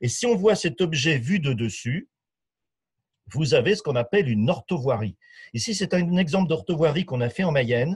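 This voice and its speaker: In a fairly high voice with very wide pitch swings, a man speaks at a moderate pace with long, frequent pauses over a quiet background. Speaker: sales development manager. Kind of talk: webinar presentation. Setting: online webinar.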